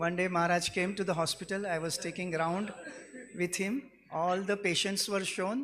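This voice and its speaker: A moderate pace in a Gujarati accent, over noticeable background noise. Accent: Indian (Gujarati) English. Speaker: devotee giving a glorification speech. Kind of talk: devotional speech with personal anecdotes.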